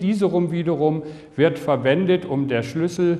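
Talking at a fairly slow pace, a man uses a high pitch. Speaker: health lecturer. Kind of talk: lecture. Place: hall.

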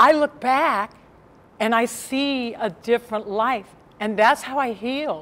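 The pitch of this woman's voice is fairly high. She talks at a very slow pace. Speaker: keynote speaker; addiction treatment counselor. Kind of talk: keynote speech to live audience. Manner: down-to-earth, conversational. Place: meeting room.

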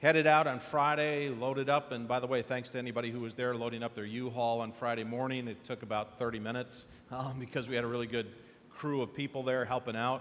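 A man talks at a very fast pace. His intonation stays flat and monotone. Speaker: pastor. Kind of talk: church announcements, casual welcome. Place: church.

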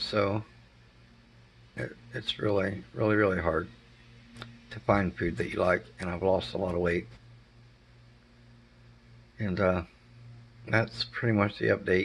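In a put-on character voice, a man speaks raspy and fairly low, with a tired tone, lively intonation, a fairly slow pace and long, frequent pauses. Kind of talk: casual vlog chat. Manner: tired, matter-of-fact. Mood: subdued, matter-of-fact.

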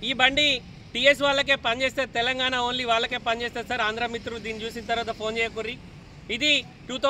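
A man with a Telangana accent uses a raised, projected voice at an extremely high pitch, in flat, monotone intonation. Light background noise sits behind him. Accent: Telangana Telugu. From Telangana, Jagtial (Karimnagar district). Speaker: used car dealer; used car seller. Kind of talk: sales pitch. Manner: casual. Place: street. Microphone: phone near.

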